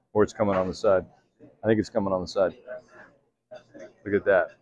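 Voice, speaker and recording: A man speaks at a fairly low pitch. The sound is dry with no echo, over light background noise. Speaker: food vlogger. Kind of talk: casual food review vlog. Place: cafe. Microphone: phone near.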